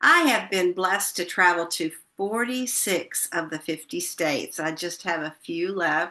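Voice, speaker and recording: A woman's fairly low voice with an American accent, bright and sharp in tone, fairly slow, with ordinary pitch variation. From Missouri. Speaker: retired teacher presenting a workshop. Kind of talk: instructional presentation. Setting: online session with shared screen.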